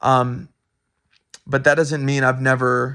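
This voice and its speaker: Here a man talks at a medium pitch with a bright, sharp tone. He speaks at a fairly slow pace. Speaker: student. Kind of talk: recorded answers to course discussion questions. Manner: halting, many fillers and restarts; loud.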